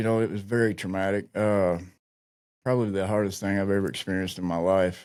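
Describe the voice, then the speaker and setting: A man speaks in an Appalachian accent at a fairly quick pace. His pitch is fairly low and his intonation fairly even. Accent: Appalachian Southern American. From rural Virginia, Appalachia. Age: 40s. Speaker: army veteran in addiction recovery. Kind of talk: interview answer. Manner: candid, reflective.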